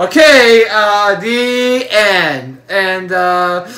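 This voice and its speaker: A man speaks in a raised, projected voice. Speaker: reaction video creator. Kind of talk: casual vlog chat. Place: home room. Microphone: webcam.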